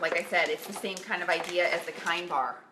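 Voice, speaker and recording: Noticeable background noise sits behind a woman who speaks at a fairly quick pace. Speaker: health coach. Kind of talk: casual tutorial.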